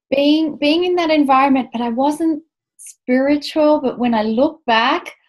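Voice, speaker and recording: At a fairly slow pace, a woman talks in an Australian accent. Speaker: spiritual author, former park ranger. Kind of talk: interview.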